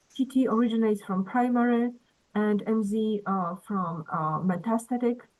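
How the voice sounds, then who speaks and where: A woman with a Polish accent, fairly high in pitch, at a moderate pace over music in the background. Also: ordinary pitch variation. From Poland. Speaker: cancer researcher. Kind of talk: Q&A question. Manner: halting.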